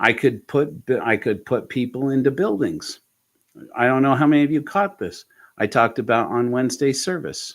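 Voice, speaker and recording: In a very clean recording with a silent background, a man with an American accent speaks at a moderate pace, medium in pitch and lively in intonation. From Colorado, US. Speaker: atheist congregation leader and preacher. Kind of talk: casual livestream chat. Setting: livestream. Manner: animated.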